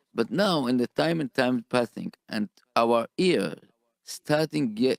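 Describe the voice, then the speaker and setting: A man with a non-native accent talks at a moderate pace and a medium pitch, with lively intonation. The sound is dry and close, with no echo. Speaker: radio host. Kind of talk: radio interview. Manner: halting.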